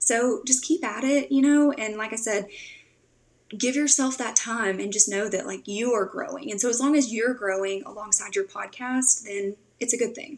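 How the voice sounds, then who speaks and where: In a Tennessee accent, a woman speaks at a moderate pace with a fairly high pitch and ordinary pitch variation. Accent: Southern US (Tennessee). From Tennessee, US South. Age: 20s. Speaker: podcast host and social media strategist. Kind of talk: podcast interview. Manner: casual, filler-heavy.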